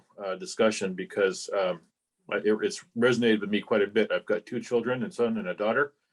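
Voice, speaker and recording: A man with an unremarkable speaking voice talks at a fairly quick pace, his medium pitch showing ordinary pitch variation in a dry, close sound with no echo. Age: 60s. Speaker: club member. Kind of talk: casual remarks in meeting discussion. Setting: club meeting.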